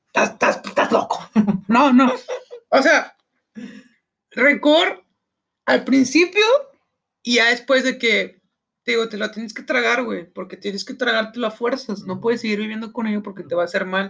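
At a fairly slow pace with long, frequent pauses, a man with an extremely high pitch and a bright, sharp tone speaks in a raised, projected voice, with ordinary pitch variation and big swings in loudness. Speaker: podcast host. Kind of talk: casual chat.

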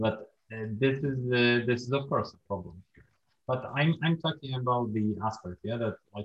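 A man speaks with a Polish accent at a medium pitch. His pace is fairly slow, with ordinary pitch variation. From Poland. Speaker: podcast host. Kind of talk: casual interview.

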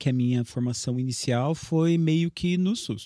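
Heard in a very clean recording with a silent background, a man speaks in a dark, mellow tone. His intonation is lively. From Brazil, Assis (São Paulo state). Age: 30s. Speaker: teacher. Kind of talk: casual chat.

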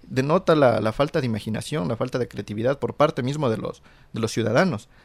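A man with a plain, everyday voice, medium pitch, ordinary pitch variation and a moderate pace. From Ecuador, Conocoto (near Quito). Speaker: graduate student. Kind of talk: radio talk show discussion.

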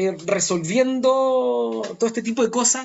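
With a Chilean accent, a man talks at a very slow pace in a high pitch, his voice making very wide pitch swings. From northern Chile, Chuquicamata. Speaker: performing arts company founder. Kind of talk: casual interview conversation. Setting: remote call from home. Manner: halting, repeats words.

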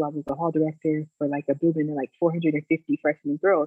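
At a moderate pace, a woman with a fairly low pitch speaks in a normal speaking voice. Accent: American. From US South, Virginia (Lexington). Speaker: school recruiter and missionary educator. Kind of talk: casual interview.

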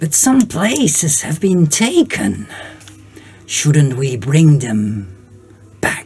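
In a put-on character voice at a low-to-middle pitch, the speaker goes at a very slow pace with long, frequent pauses over faint music in the background. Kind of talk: game master voicing several minor characters. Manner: scheming, conspiratorial.

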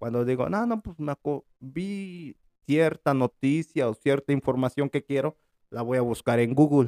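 Fairly slowly, a man speaks in a fairly high pitch with a dark, mellow tone and ordinary pitch variation. The sound is dry and close, with no echo. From Mexico. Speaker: podcast host. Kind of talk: casual chat.

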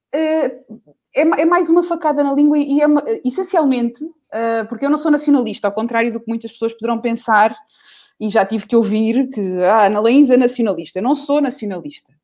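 A woman's high-pitched voice with lively intonation and long, frequent pauses. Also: fairly quick pace, very clean recording, silent background. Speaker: singer. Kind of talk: casual chat. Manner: animated.

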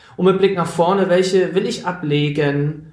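A man's voice with ordinary pitch variation. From Schleswig-Holstein, northern Germany. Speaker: podcast co-host, diversity trainer. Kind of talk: casual conversational podcast. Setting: remote call between two cities.

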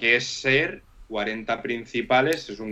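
A man's medium-pitched voice with a La Mancha accent. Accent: Manchego Spanish. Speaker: DJ. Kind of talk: casual chat. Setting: live stream.

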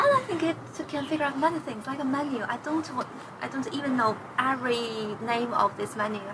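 Noticeable background noise accompanies a woman with a Chinese accent who speaks at a fairly quick pace in a high pitch with ordinary pitch variation. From China, Dalian. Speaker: Chinese teacher. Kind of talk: casual chat.

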